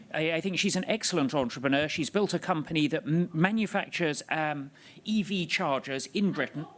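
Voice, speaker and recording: This man has a high-pitched voice and lively intonation. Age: 50s. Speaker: economist on a conference panel. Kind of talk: panel discussion. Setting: stage with audience at party conference.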